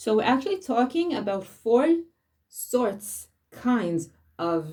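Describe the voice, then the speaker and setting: With an Israeli accent, a woman speaks in a dark, mellow tone, her pitch swinging very widely. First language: Hebrew. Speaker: spiritual teacher. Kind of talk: talk on weekly Torah portion. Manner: halting.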